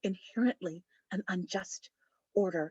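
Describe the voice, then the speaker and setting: A woman's voice with ordinary pitch variation. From US West Coast, San Diego. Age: 50s. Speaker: counselor and conference speaker. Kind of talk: conference presentation. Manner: conversational, direct.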